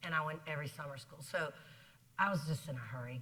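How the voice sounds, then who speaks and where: With an American accent, a woman speaks in a very deep, low voice with a bright, sharp tone. The room echo is audible. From South Carolina. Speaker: business executive. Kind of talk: interview on stage. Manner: fast; energetic.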